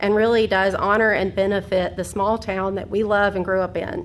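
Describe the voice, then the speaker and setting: Vocal fry marks this American accent, heard with audible room echo. The pace is moderate and the intonation fairly even. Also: woman. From US South, Georgia. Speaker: landowner, public commenter. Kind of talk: public comment at council meeting.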